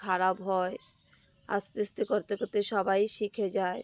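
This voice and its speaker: Recorded dry and close with no echo and a very clean, silent background, a woman speaks at a medium pitch. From Assam, India. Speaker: village homemaker vlogger. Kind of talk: casual vlog narration. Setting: at home while doing chores. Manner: halting.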